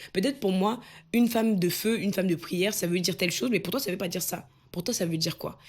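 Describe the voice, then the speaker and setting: A woman's somewhat breathy voice at medium pitch, with ordinary pitch variation and a very fast pace. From Cameroon. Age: 20s. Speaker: personal development coach. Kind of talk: motivational talk to camera.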